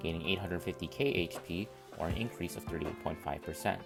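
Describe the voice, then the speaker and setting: The speaker goes at a fairly quick clip with music in the background. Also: man. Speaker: gaming content creator. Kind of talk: game guide narration. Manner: mellow.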